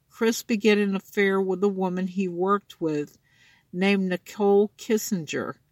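A woman's unremarkable speaking voice at a medium pitch, fairly slow and fairly even in intonation, with a dry, close sound, no echo, and a very clean recording against a silent background. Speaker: true crime podcaster. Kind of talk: true-crime narration, scripted, read aloud in a serious tone. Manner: solemn, measured and formal, read from a script; stumbles and repeats words while reading.

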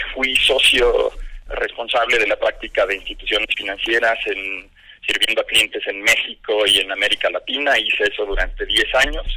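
Moderate pace with noticeable background noise. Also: man. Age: 50s. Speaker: fintech company CEO. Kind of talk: radio interview.

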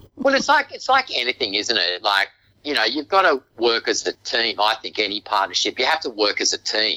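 Fairly quick speech with an Australian accent, dry and close with no echo. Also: man. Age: 50s. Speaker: real estate agency owner. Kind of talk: interview. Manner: halting.

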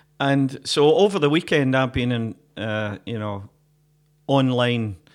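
A man with a Glaswegian accent speaks at a medium pitch. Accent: Glaswegian Scottish. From Glasgow. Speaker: folk musician and podcast co-host. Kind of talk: casual chat. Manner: jokey, laughs often.

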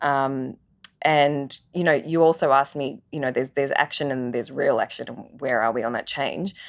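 The female speaker's pitch is very deep and low, varying by a typical amount as she talks at a medium tempo. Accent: Australian. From Adelaide, Australia (migrated from Singapore as child). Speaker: media agency professional. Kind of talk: interview conversation.

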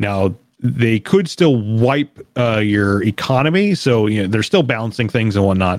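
A man with an ordinary speaking voice, medium in pitch with ordinary pitch variation, talks at a fairly slow pace in a dry, close sound with no echo. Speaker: podcast host. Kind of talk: casual chat.

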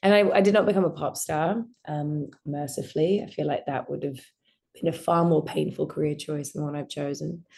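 Over a quiet background, a woman with an Australian accent speaks at a fairly quick pace in a very deep, low pitch, her dark, mellow tone carrying vocal fry and ordinary pitch variation. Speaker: actor. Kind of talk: interview.

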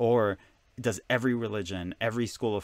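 A man speaks at a very fast pace. The pitch variation in his voice is ordinary. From Israel. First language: Hebrew. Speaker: author and spiritual teacher. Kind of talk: interview.

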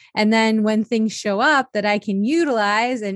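A woman's fairly high, plain, everyday voice with ordinary pitch variation, dry and close with no echo, on a very clean recording with a silent background. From Italian-American family. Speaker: happiness coach and author. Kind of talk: interview testimony.

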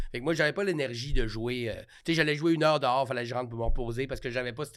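The speaker is a man with a fairly high pitch. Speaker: comedian. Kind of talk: casual chat. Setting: studio.

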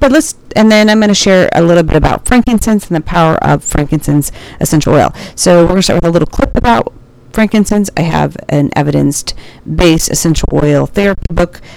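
Over noticeable background noise, a woman speaks at a fairly low pitch with lively intonation and very even loudness. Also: fairly quick pace. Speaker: nurse podcaster. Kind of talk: casual solo podcast intro and commentary. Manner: informal, rambling, halting.

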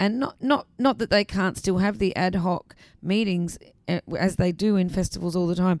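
A woman speaks at a moderate pace with an Australian accent. Her pitch varies in an ordinary way. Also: medium pitch for a woman. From South Australia, Adelaide. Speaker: arts festival director. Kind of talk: interview conversation. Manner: hesitant with fillers.

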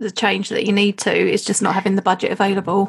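Very fast, somewhat breathy speech from a woman of medium pitch. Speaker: association chief executive and podcast host. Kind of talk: interview.

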